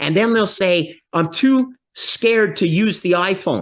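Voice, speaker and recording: A man with a Canadian accent, animated in tone and at a fairly slow pace, against a quiet background. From Canada. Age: 60s. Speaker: finance expert. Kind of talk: interview.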